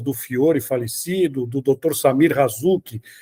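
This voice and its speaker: This man's voice sits fairly high in pitch, with a dark, mellow tone and ordinary pitch variation, captured in a dry, close sound with no echo. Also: very clean recording, silent background. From Brazil, São Paulo city. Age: 60s. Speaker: sports journalist. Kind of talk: interview.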